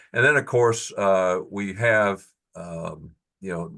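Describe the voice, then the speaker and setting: A man's fairly low voice with a bright, sharp tone, ordinary pitch variation and a fairly slow pace, against a quiet background. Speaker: invited speaker on industrial technology. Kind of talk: technical presentation. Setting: professional section meeting. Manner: halting, many fillers and restarts.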